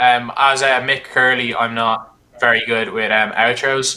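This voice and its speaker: Speaking at medium pitch, the man holds a monotone, flat intonation. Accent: Irish. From Ireland. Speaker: gaming YouTuber and streamer. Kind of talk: casual interview podcast. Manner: fast.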